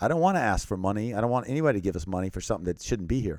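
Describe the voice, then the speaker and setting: With lively intonation, a man speaks in an American accent on a very clean recording with a silent background. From Thailand (American missionary family). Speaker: missionary and humanitarian aid worker in war zones. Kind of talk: podcast interview.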